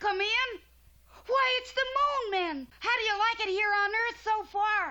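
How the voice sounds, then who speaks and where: An extremely high-pitched cartoonish character voice talks at a fairly slow pace. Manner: bright, eager.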